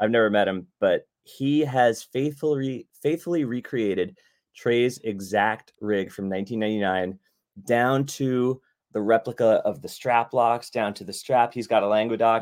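Here a man with an American accent has an ordinary speaking voice at medium pitch with ordinary pitch variation. He talks at a fairly slow pace on a very clean recording with a silent background. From Long Island, New York. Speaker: musician and recording engineer. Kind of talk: casual interview chat.

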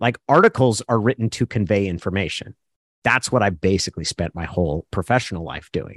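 A plain, everyday voice from a man with an American accent, fairly low-pitched with ordinary pitch variation and a fairly quick pace, in a dry, close sound with no echo against a quiet background. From Oregon, US. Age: 40s. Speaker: sports journalist. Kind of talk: casual chat.

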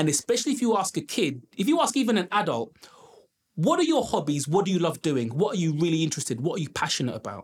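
Speaking in a London accent, a man with a high pitch makes very wide pitch swings. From London, Brent. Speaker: education entrepreneur. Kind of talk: interview.

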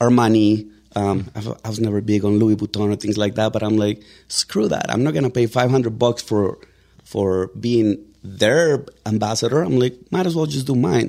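With a Mexican accent, a man talks at a moderate pace in a fairly low pitch, his dark, mellow tone showing ordinary pitch variation. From Mexico. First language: Spanish. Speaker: real estate agent. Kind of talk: casual interview. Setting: studio. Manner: animated.

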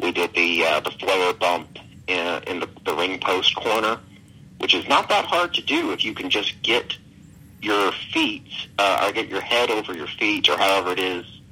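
A man with a Southern US accent speaks at a moderate pace in a fairly low voice, his tone bright and sharp and his pitch varying in an ordinary way. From Alabama, US South. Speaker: comic book writer. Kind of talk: casual interview.

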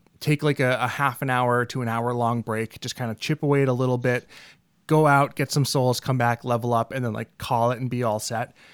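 A man with an unremarkable speaking voice talks at a moderate pace, with a medium pitch and fairly even intonation. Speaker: podcast host. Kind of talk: casual chat.

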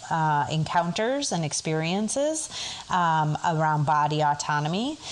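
A woman speaks in a fairly low voice. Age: 40s. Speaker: sex therapist. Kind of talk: interview.

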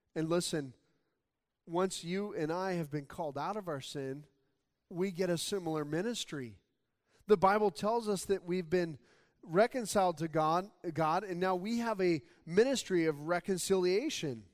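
The recording is very clean, with a silent background. A man with an American accent talks at a high pitch, pausing long and often. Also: ordinary pitch variation, moderate pace. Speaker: pastor. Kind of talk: sermon. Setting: church.

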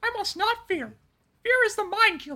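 An extremely high pitch defines this put-on character voice.

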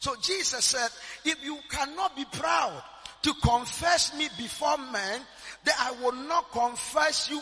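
Over noticeable background noise, a man with a Ghanaian accent uses a raised, projected voice of extremely high pitch, animated in tone, at a moderate pace with ordinary pitch variation. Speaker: prophet and church general overseer. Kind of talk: sermon, preacher in full flow, call and response. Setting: church with live congregation. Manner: animated, exhorting, rhythmic repetition, commanding.

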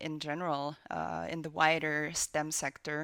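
A woman with a Finnish accent is heard in a dry, close sound with no echo. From Finland. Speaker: video game producer. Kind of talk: interview.

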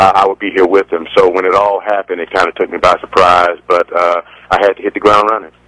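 A man at a fairly quick pace, dry and close with no echo, amid noticeable background noise. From Decatur, Georgia, east of Atlanta. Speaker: college basketball coach. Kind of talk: radio phone interview.

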